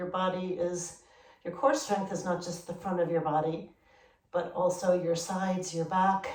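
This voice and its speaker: In a calm tone, a woman with a fairly low pitch speaks at a moderate pace with fairly even intonation. Audible room echo and noticeable background noise surround her. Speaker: yoga instructor. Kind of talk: guided yoga class instruction. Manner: calm, paced instructions.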